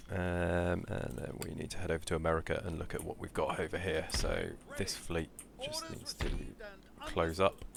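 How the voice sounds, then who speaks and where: A man with a British accent at a moderate pace, over noticeable background noise. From Britain. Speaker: gaming YouTuber. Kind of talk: gameplay commentary. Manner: halting, many fillers.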